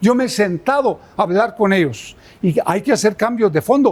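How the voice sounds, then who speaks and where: A man talks at a moderate pace with lively intonation. His pitch is high for a man. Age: 70s. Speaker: presidential candidate. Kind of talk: interview. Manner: emphatic.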